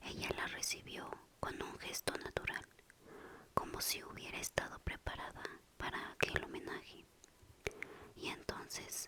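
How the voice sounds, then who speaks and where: The speaker whispers fairly slowly. Noticeable noise fills the background. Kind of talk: whispered ASMR audiobook reading for sleep. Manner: whispered, soft.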